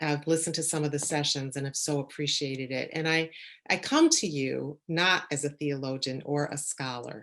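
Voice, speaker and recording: A woman speaks at a moderate pace with fairly even intonation. Her pitch is very deep and low. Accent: Chicago. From Chicago suburbs. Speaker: church leader and leadership coach. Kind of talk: talk, conference lecture.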